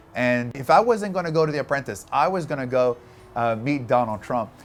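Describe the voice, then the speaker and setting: With a medium pitch and ordinary pitch variation, a man speaks fairly quickly while music plays in the background. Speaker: entrepreneur and speaker. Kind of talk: storytelling interview.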